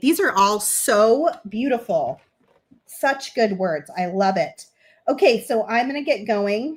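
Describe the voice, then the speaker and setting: Putting on a character voice, a woman speaks loud and raspy at a fairly slow pace, her fairly high pitch making very wide swings. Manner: talking too loud.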